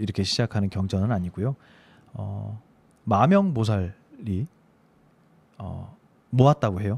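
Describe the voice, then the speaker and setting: A man talks at a fairly slow pace, leaving long, frequent pauses. His pitch variation is ordinary, while his loudness swings widely. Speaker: Buddhist monk radio host. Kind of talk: casual chat on Buddhist scripture. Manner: hesitant, many fillers.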